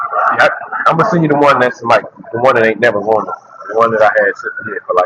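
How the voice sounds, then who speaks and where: A man races through his words very quickly as background noise is clearly heard. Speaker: vlogger, content creator. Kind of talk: casual walking vlog. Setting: outdoors, walking. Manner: loud at times; repetitive, halting.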